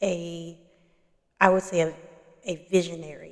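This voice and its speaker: Soft-spoken, a woman talks at a fairly slow pace. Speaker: doula and spiritual content creator. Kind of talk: casual talk to camera.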